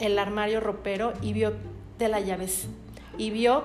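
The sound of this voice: Here we have an unforced reading voice. Its intonation holds fairly even.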